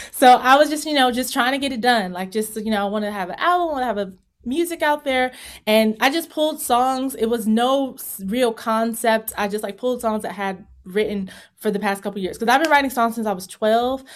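A woman with an American accent talks at a fairly quick pace in an ordinary speaking voice, fairly high in pitch with ordinary pitch variation, on a very clean recording with a silent background. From Virginia. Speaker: singer-songwriter and vocal coach. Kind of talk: interview.

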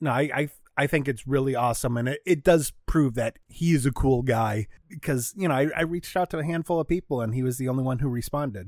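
Over a silent background in a very clean recording, a man at medium pitch talks at a very fast pace. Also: ordinary pitch variation. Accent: American. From Michigan, US (Troy, Metro Detroit). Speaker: comedian. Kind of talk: casual chat.

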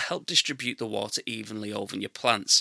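A man with an English accent speaks at a fairly quick pace, his tone bright and sharp, the sound dry and close with no echo. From England. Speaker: gardening podcast host. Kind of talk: scripted narration.

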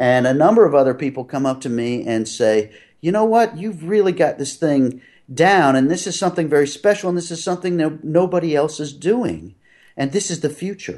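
A man with an American accent, a normal speaking voice and a fairly high pitch talks at a fairly quick pace with lively intonation against a quiet background. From US Northeast (Philadelphia). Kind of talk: interview.

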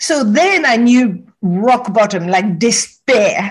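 Somewhat breathy, fairly high woman's voice with lively intonation. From Morocco. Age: 60s. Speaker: wisdom teacher. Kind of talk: interview.

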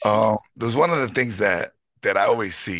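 With a New York accent, a man speaks at a moderate pace in a fairly low pitch, his intonation lively and the sound dry and close with no echo. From New York, Bronx. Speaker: high school baseball coach. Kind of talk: casual chat.

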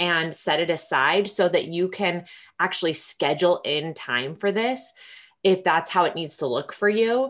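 With a normal speaking voice, a woman talks at a moderate pace and medium pitch, with ordinary pitch variation and a quiet background. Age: 30s. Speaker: podcast host. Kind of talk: casual interview.

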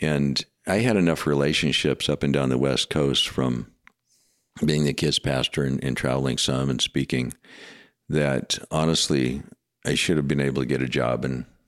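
A man with a very deep, low voice and vocal fry talks at a moderate pace, leaving long, frequent pauses and keeping his loudness very even, in a dry, close recording with no echo. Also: fairly even intonation. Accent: American. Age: 60s. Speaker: pastor. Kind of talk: testimony.

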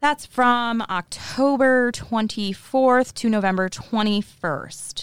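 Playful in tone, a woman is heard on a very clean recording with a silent background and a dry, close sound with no echo. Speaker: podcast host. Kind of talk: casual banter podcast chat. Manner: playful, joking.

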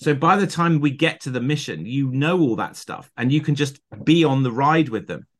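Speaking at a moderate pace with an ordinary pitch variation, a man with a southern English accent has a fairly high pitch. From southern England. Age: 50s. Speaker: film editor. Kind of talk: interview. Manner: animated.

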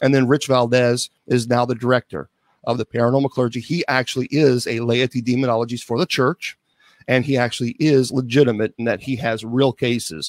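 An unremarkable speaking voice belongs to a man at medium pitch with fairly even intonation. The sound is dry and close, with no echo. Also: fairly quick pace. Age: 50s. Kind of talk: interview.

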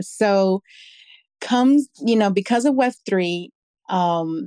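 A woman with an American accent speaks at a fairly high pitch with lively intonation and a dark, mellow tone. The sound is dry and close, with no echo. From New York City. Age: 30s. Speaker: artist and fashion designer. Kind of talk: interview. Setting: live audio space.

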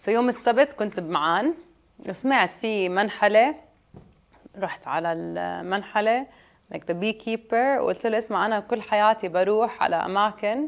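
A woman speaks fairly slowly in a normal speaking voice. Her pitch is medium, with ordinary pitch variation. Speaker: juice business founder. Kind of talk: interview.

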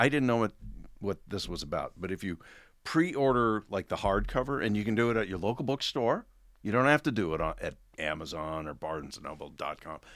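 A man with an American accent, vocal fry and very wide pitch swings, on a very clean recording with a silent background. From US, Oregon small town. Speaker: actor and author. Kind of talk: casual interview chat. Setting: in person studio.

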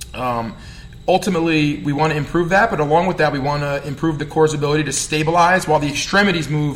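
Talking at a fairly quick pace with a New Jersey accent, a man has a fairly high pitch and an animated tone, with noticeable background noise. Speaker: strength coach and podcast host. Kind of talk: solo podcast rant. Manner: animated, fired up, fast.

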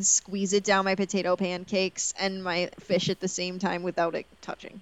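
At a moderate pace, a woman talks at medium pitch in an unremarkable speaking voice. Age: 20s. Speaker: movie podcast co-host. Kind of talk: casual chat.

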